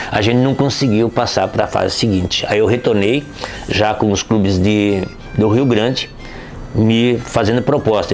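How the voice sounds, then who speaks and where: Music plays in the background as a man speaks at a fairly slow pace. His medium pitch carries fairly even intonation. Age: 60s. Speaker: retired footballer. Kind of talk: interview storytelling. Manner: casual, conversational with fillers.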